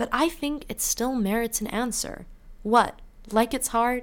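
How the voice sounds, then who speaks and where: Against a very clean recording with a silent background, a woman with a Canadian accent speaks at a fairly slow pace and fairly high pitch, with ordinary pitch variation. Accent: sounds Canadian. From UK. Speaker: student podcast host. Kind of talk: casual solo podcast monologue.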